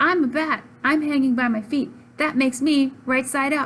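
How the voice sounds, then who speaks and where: The put-on character voice comes through loud. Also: woman, high pitch for a woman, moderate pace. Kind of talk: bedtime story. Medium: read story. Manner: blunt, matter-of-fact.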